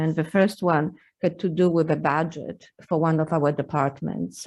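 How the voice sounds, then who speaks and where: A woman speaks with a Polish accent at a moderate pace, her pitch fairly low. Her intonation stays fairly even over a quiet background. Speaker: university administrator. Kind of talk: legislative testimony. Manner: halting.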